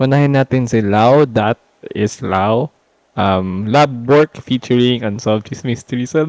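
A man has an unremarkable speaking voice at medium pitch, with ordinary pitch variation. He talks at a fairly slow pace, and the sound is dry and close with no echo. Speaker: podcast co-host; marine biologist. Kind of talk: casual storytelling chat.

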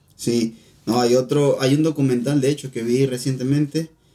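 A man with a Venezuelan accent speaks at a medium pitch in a dark, mellow tone, with fairly even intonation. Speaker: podcast co-host. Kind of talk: casual chat.

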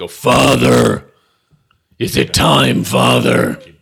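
A man's booming, put-on character voice, very deep and low, flat and monotone, at a very slow pace

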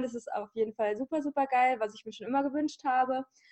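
Fairly quick in pace, a woman speaks with a high pitch and a dark, mellow tone. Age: 20s. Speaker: podcaster and online magazine founder. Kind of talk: interview.

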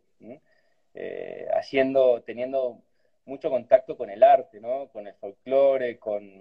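A man speaks at a very slow pace, with big swings in loudness. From Argentina, Cafayate (Salta). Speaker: winemaker. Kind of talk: casual interview over video call.

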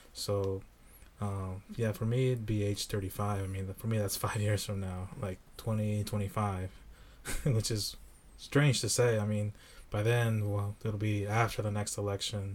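Speaking at a fairly slow pace, a man with a fairly low pitch has a somewhat breathy voice and monotone, flat intonation. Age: 30s. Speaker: associate director at an organization. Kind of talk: casual chat.

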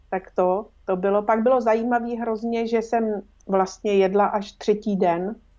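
A woman of medium pitch speaks with a dark, mellow tone and flat, monotone intonation. She goes at a fairly slow pace against a quiet background. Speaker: former film interpreter. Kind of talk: casual chat.

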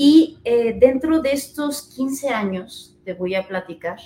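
A woman's voice with a dark, mellow tone. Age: 30s. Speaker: psychologist. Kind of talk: interview. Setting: live broadcast.

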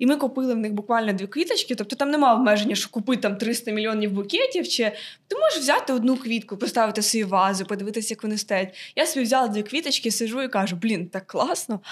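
Somewhat breathy and fairly high, a woman's voice moves at a very fast pace with ordinary pitch variation over a very clean recording with a silent background. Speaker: university student and florist. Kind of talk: casual chat.

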